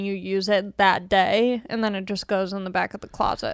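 In a very clean recording with a silent background, a woman with an American accent uses an ordinary speaking voice at a medium pitch and a fairly quick pace. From Long Beach, California. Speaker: comedian. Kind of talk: casual chat.

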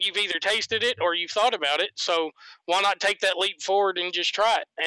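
A man with a Southern US accent, high-pitched, bright and sharp in tone, in a raised, projected voice at a moderate pace, with a dry, close sound with no echo on a very clean recording with a silent background. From US South. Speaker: guest sharing his sex life. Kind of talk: interview.

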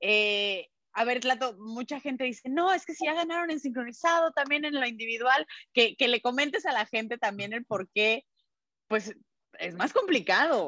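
Recorded dry and close with no echo, a woman speaks at a high pitch with a bright, sharp tone, lively intonation and a moderate pace. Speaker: sports journalist. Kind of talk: casual chat.

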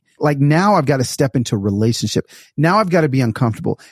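On a very clean, dry and close recording with no echo and a silent background, a man speaks at a medium pitch. His somewhat breathy voice is animated, with very wide pitch swings. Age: 40s. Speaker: author and speaker. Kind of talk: casual interview chat.

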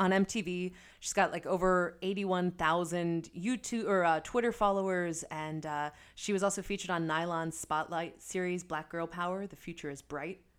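Here is an unremarkable speaking voice, a woman's, fairly low in pitch. She keeps a moderate pace and fairly even intonation in a very clean recording with a silent background. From Philadelphia. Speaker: podcast host. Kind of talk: casual chat.

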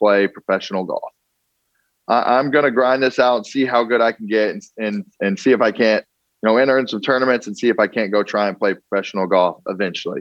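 A man has an ordinary speaking voice at a medium pitch. His pitch variation is ordinary. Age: 20s. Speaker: former football player. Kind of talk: interview.

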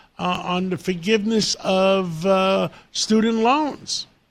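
The voice belongs to a man and is high in pitch. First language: Greek. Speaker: radio host. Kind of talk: interview.

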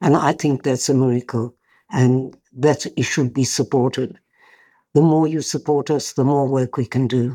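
A woman's very deep, low voice, dark and mellow in tone, with fairly even intonation at a moderate pace, on a very clean recording with a silent background. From South Africa. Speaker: bereaved mother and peace activist. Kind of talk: interview.

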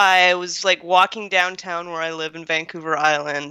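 The recording is very clean with a silent background, dry and close with no echo. A woman speaks fairly slowly at medium pitch with a bright, sharp tone. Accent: Canadian. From Canada. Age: 20s. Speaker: baseball fan guest. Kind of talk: casual chat.

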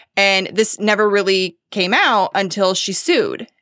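A normal speaking voice from a woman, medium in pitch and at a fairly slow pace, in a very clean recording with a silent background. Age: 30s. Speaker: podcast producer. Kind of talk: casual chat.

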